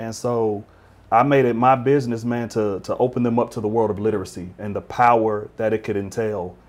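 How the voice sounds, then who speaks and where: Using an unremarkable speaking voice, a man talks at a medium pitch and fairly quick pace with fairly even intonation. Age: 40s. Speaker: school administrator and pastor. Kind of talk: interview.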